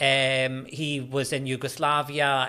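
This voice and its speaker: Fairly even in intonation, a man speaks with a Scottish accent at a fairly high pitch. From Scotland, Glasgow. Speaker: university lecturer in religious studies. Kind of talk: podcast interview. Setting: studio.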